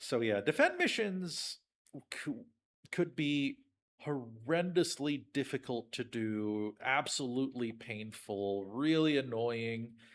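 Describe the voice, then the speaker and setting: On a very clean recording with a silent background, a man with a medium-pitched voice and ordinary pitch variation speaks at a very slow pace. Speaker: gaming streamer. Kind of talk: let's play commentary. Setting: livestream. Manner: loud.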